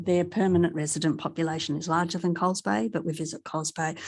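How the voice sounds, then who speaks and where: Soft-spoken and fairly quick, a woman with an Australian accent speaks at a fairly low pitch with ordinary pitch variation against a quiet background. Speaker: councillor. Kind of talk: council meeting comment.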